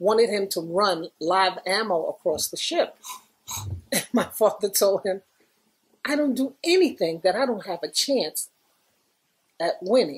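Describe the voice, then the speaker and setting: Pausing long and often, a woman speaks at a fairly slow pace with very wide pitch swings. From New York, the Bronx. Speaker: former graffiti artist; interviewee. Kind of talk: oral history interview. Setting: recording with small group present. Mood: warm, amused.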